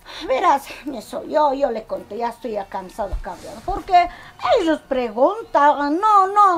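At a fairly slow pace, a woman speaks high in pitch with big pitch swings.

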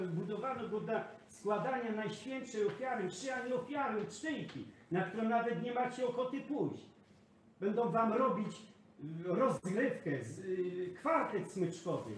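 There is light background noise and audible room echo as a man with a high pitch speaks with lively intonation. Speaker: priest. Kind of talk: heated confrontation. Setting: indoors, filmed on camera. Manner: insistent, repetitive questioning. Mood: angry, scolding. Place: kitchen. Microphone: phone near.

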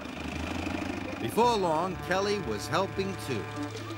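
A passage in plain reading aloud

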